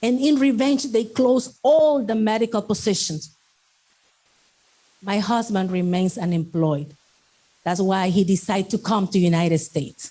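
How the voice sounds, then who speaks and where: A woman with a Salvadoran accent speaks in a somewhat breathy, dark and mellow tone, with lively intonation and long, frequent pauses. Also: medium pitch for a woman, moderate pace. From El Salvador. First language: Spanish. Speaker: network marketing speaker, doctor and medical instructor. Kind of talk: motivational talk.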